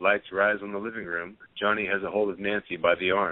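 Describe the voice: A man talks at a fairly quick pace. His fairly low pitch shows little pitch movement.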